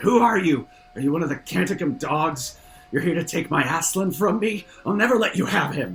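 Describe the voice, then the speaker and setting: Putting on a character voice, a man shouts in a guttural, growling, high-pitched voice at a moderate pace. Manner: screaming, growling.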